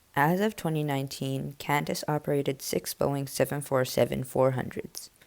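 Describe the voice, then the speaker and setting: A woman with a very deep, low pitch speaks at a fairly quick pace. Her voice has vocal fry and fairly even intonation. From Canada. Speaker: aviation video narrator. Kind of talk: scripted narration.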